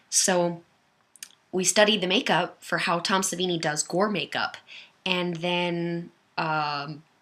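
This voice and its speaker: A woman with an American accent speaks at a fairly slow pace. Her voice is fairly low, with a bright, sharp tone. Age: 20s. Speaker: firearms enthusiast video creator. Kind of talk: casual livestream Q&A. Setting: webcam livestream. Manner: animated.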